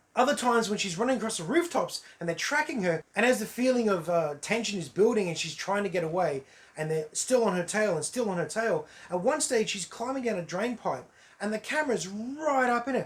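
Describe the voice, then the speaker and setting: A man with a high-pitched voice uses lively intonation. Noticeable noise runs in the background. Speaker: movie reviewer. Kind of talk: casual talk to camera.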